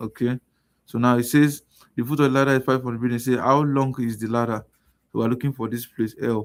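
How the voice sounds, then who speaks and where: A soft-spoken man speaks at medium pitch and a fairly quick pace. His intonation is monotone and flat. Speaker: math and science tutor. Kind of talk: tutorial. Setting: live stream.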